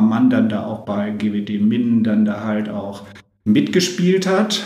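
Speaking at a very slow pace, a man uses lively intonation amid audible room echo. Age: 60s. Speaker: former handball player and teacher. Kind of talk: interview. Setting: home kitchen.

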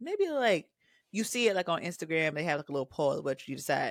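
This woman has a normal speaking voice, pitched fairly low, and she talks at a fairly quick pace. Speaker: podcast co-host. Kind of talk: casual chat.

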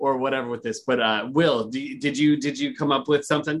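An unremarkable speaking voice comes from a man at a moderate pace. His pitch is fairly high. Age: 30s. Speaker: podcast host. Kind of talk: casual chat.

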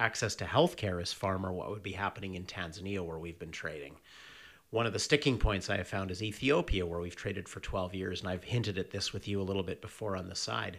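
On a very clean recording with a silent background, a man with a Canadian accent speaks very fast in a very deep, low voice with ordinary pitch variation. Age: 50s. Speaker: coffee company co-founder. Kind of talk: interview. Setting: in-person conversation.

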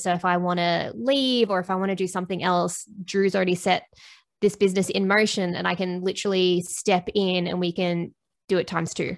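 A woman's fairly quick speech with an Australian accent and fairly even intonation. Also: very clean recording, silent background. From Australia, Bendigo Victoria and Sydney. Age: 30s. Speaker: reseller and podcaster. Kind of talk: casual interview chat.

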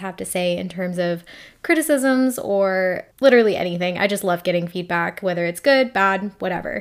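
In a very clean recording with a silent background, a woman talks at medium pitch with ordinary pitch variation in an unremarkable speaking voice. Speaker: podcast host and medical student. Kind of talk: casual interview chat; podcast intro and outro monologue.

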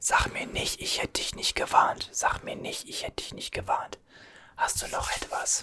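Someone whispers at a moderate pace, with noticeable background noise around the words.

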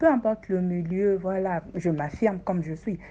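A woman with a dark, mellow tone speaks at a fairly slow pace with ordinary pitch variation. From Congo. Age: 20s. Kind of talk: casual chat.

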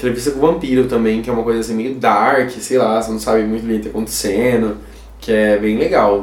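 A man talks at a medium pitch, with audible room echo and noticeable background noise in the recording. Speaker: podcast co-host. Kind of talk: casual chat.

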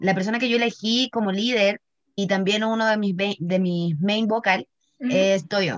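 A woman speaks at a moderate pace with ordinary pitch variation in a dry, close sound with no echo. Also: medium pitch for a woman. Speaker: podcast co-host. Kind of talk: casual chat. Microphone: laggy connection.

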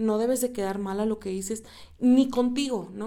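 A woman speaks at a moderate pace with fairly even intonation. Her fairly high-pitched voice has a dark, mellow tone. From Mexico, State of Mexico. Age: 20s. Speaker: teacher and radio host. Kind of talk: casual chat.

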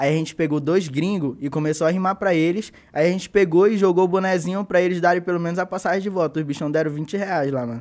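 A man at a very fast pace with hardly any pauses, high in pitch, with ordinary pitch variation. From Brazil, Manaus (Amazonas). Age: 20s. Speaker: battle rapper. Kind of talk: casual chat.

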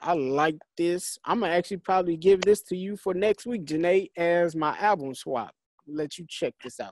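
Recorded with a dry, close sound and no echo, a man speaks at a fairly high pitch. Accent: American. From St. Louis, US Midwest. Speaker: podcast co-host. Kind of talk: casual chat. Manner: animated.

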